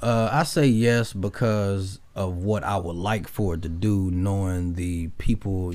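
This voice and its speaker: A man speaks at a fairly low pitch. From Memphis, Tennessee. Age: 30s. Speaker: rapper. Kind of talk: casual interview chat.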